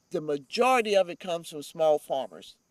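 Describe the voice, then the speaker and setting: In a North Carolina accent, the speaker talks at a moderate pace in an animated tone. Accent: Southern US (North Carolina). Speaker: nonprofit urban farm leader. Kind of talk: interview. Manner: loud.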